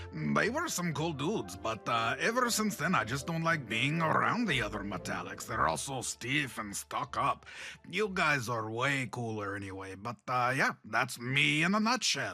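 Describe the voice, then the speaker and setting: A man uses a put-on character voice at a medium pitch and a moderate pace. He hardly pauses, and clear music plays in the background. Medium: audio drama. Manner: casual slang, jokey.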